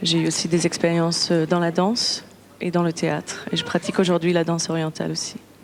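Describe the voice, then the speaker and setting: Against noticeable background noise, a woman talks at a fairly quick pace in a fairly low, monotone, flat voice. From Israel. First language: Hebrew (speaking French). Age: 20s. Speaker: singer. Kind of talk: interview. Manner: halting.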